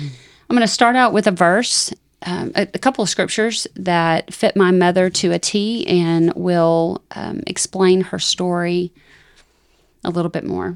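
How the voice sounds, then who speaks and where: A woman with a fairly low pitch speaks at a fairly slow pace, with ordinary pitch variation and a normal speaking voice. The recording is very clean, with a silent background and a dry, close sound with no echo. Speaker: podcast host. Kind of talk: casual chat.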